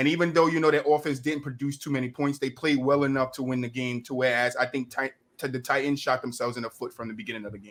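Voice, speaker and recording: A man with an American accent speaks at a very fast pace with hardly any pauses. His medium pitch holds fairly even intonation while his loudness swings widely. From New Jersey. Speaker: podcast host. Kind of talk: casual sports chat.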